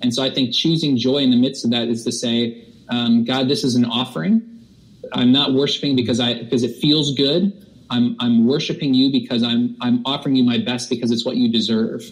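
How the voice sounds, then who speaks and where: This man talks at a moderate pace in a medium pitch, his intonation fairly even. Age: 30s. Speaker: worship pastor. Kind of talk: casual chat. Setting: video call. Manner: halting.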